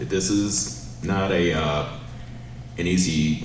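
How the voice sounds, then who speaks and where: Audible room echo and noticeable background noise behind a man with an American accent. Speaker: city council candidate. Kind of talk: campaign closing statement.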